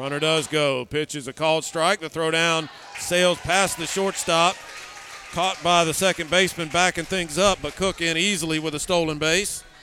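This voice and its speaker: A man speaks at a high pitch with fairly even intonation and a moderate pace. There is noticeable background noise. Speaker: baseball play-by-play announcer. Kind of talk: live baseball play-by-play commentary with color analysis. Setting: stadium broadcast booth with headsets. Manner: measured, explanatory pitch-by-pitch delivery.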